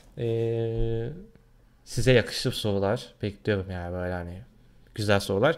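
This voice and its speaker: A man's fairly low pitch at a fairly slow pace, with ordinary pitch variation and big swings in loudness. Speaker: gaming YouTuber; gaming channel vlogger. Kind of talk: vlog, casual talk to camera. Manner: hesitant, many fillers. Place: home room. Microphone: webcam.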